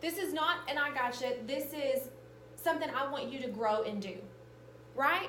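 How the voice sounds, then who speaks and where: A woman talks at a moderate pace with ordinary pitch variation, over noticeable background noise and audible room echo. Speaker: teacher leading professional development. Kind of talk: professional development presentation.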